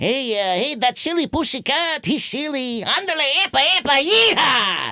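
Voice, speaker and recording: Using a put-on character voice, a man speaks at an extremely high pitch and a moderate pace, with hardly any pauses. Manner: excitable.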